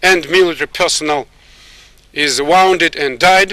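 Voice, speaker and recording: The speaker has a Russian accent and ordinary pitch variation. The sound is dry and close, with no echo. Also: man. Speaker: military officer. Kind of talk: press statement. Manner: halting.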